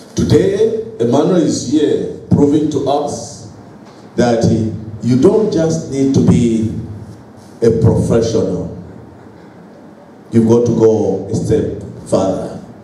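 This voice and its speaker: With audible room echo and noticeable background noise, a man speaks at a very slow pace with lively intonation and long, frequent pauses. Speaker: professional association representative. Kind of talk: speech at book launch. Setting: hotel event hall with audience. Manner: formal.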